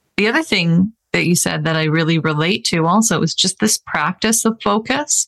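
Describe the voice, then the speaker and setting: A woman with an ordinary speaking voice and a fairly low pitch talks at a moderate pace with lively intonation, hardly any pauses and very even loudness, the sound dry and close with no echo. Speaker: podcast host. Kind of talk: casual interview chat.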